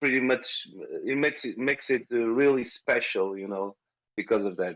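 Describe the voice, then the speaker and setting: A man with a Portuguese accent at a fairly quick pace. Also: medium pitch for a man, ordinary pitch variation. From Portugal, rural village near small city. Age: 40s. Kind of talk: interview. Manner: halting.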